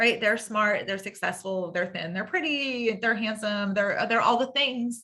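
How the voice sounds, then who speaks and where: A woman talks at a fairly high pitch with a bright, sharp, bubbly and animated tone. Her pace is fairly slow and her pitch variation ordinary. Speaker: workshop trainer in the helping professions. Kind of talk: online training lecture. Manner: upspeak, sentences ending with a rising inflection; bubbly, animated.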